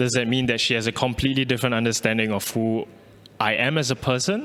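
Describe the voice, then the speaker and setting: At a very fast pace, a man with a Malaysian accent speaks at a medium pitch with fairly even intonation. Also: very even loudness. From Singapore. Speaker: artist. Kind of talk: artist talk. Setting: pre-recorded video. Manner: halting, with repetitions.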